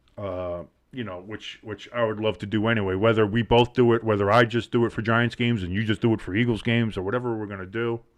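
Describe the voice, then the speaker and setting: A man in a New Jersey accent talks at a very fast pace with hardly any pauses. His fairly low voice has monotone, flat intonation. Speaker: sports podcast host. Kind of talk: casual chat. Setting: live stream.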